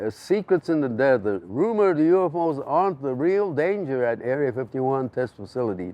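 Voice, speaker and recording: A man with an American accent talks at a fairly quick pace. His fairly high voice has a dark, mellow tone and swings very widely in pitch. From Japanese American. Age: 70s. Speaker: conspiracy researcher. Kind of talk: interview answer.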